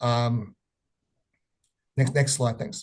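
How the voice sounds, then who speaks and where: With an Australian accent, the speaker sounds somewhat breathy and moves at a fairly quick pace. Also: man. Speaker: economist presenting research. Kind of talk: webinar presentation. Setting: online webinar. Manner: halting with many fillers.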